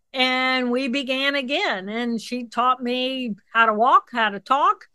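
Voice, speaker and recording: A woman uses a raised, projected voice at a high pitch with a bright, sharp tone, at a very slow pace. The sound is dry and close with no echo. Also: ordinary pitch variation. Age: 60s. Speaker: neuroanatomist. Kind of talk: interview. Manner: animated.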